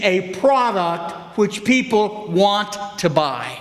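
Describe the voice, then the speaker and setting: There is audible room echo around the voice. A man speaks at a high pitch. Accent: American. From US South, Memphis, Tennessee. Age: 70s. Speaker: economics professor. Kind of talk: public forum speech.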